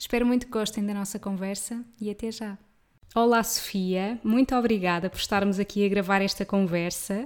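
A woman with a plain, everyday voice, medium pitch, fairly even intonation and a moderate pace. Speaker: podcast host. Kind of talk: scripted intro; casual interview chat.

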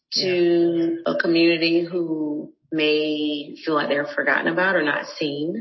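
A plain, everyday voice from a woman with an American accent, fairly low in pitch with ordinary pitch variation, at a fairly slow pace. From Raleigh, North Carolina. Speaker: dance instructor and preschool teacher. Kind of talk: interview.

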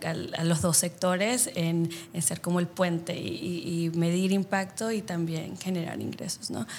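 On a very clean recording with a silent background, a woman with a fairly low pitch speaks at a fairly slow pace. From El Salvador. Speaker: social impact consultant. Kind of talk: interview. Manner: halting, with many fillers.

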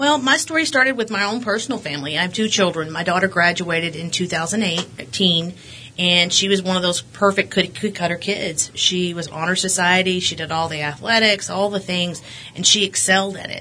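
A woman speaks at a moderate pace with a West Texas accent, her pitch medium and its variation ordinary. Noticeable background noise sits behind her. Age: 40s. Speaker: school board candidate, realtor. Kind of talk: interview. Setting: studio.

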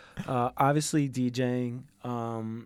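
Medium-pitched, monotone, flat speech from a man with a New York accent, in a very clean recording with a silent background. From Queens, New York. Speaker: DJ. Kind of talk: casual chat.

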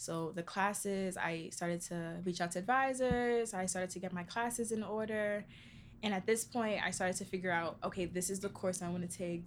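An unremarkable speaking voice from a woman with an American accent, medium pitch, ordinary pitch variation and a fairly quick pace. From New York City, the Bronx. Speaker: college student. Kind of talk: interview.

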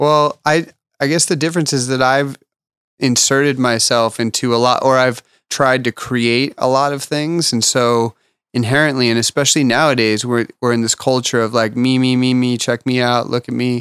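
Keeping a very even loudness, a man talks at a moderate pace with a medium pitch and fairly even intonation, in a dry, close sound with no echo. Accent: Californian. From Los Angeles. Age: 40s. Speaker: artist manager and restaurant owner. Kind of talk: casual interview chat.

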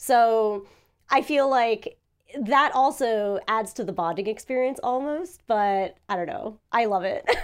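A woman with a New Jersey accent, fairly high pitch, lively intonation and a fairly slow pace, on a very clean recording with a silent background. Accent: American English, New Jersey. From New Jersey, US. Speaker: voice actor and YouTuber. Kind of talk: casual chat.

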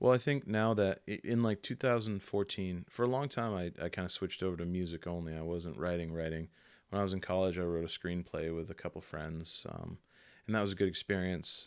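The speaker has a New England accent. The pace is fairly quick. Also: man, very deep, low pitch for a man, ordinary pitch variation, very clean recording, silent background. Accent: New England American. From New Bedford, Massachusetts. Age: 20s. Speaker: writer. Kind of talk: casual chat.

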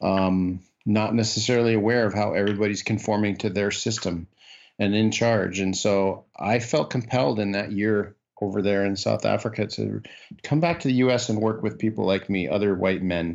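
A man with an American accent, fairly low in pitch, at a moderate pace and very even in loudness. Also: ordinary pitch variation. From US Midwest, Iowa. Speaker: leadership development consultant. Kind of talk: interview. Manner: halting.

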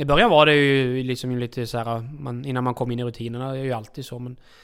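Very fast and at medium pitch, a man speaks with fairly even intonation on a very clean recording with a silent background. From outside Sweden. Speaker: harness racing trainer's assistant and farrier. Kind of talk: casual interview. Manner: halting.

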